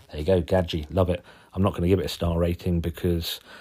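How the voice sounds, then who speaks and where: In a Suffolk accent, a man speaks with a very deep, low pitch and a dark, mellow tone that is somewhat breathy. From Suffolk, England. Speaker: podcast host, zine maker. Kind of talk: casual solo zine review. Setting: lying on settee at home. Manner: informal, jokey, swears casually.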